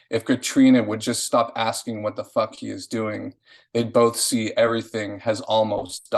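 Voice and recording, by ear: Reading aloud in a natural voice over a quiet background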